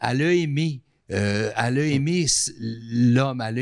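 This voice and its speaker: On a very clean recording with a silent background, the speaker has an ordinary speaking voice with ordinary pitch variation. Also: man. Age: 60s. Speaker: artist and TV station manager. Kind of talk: casual chat.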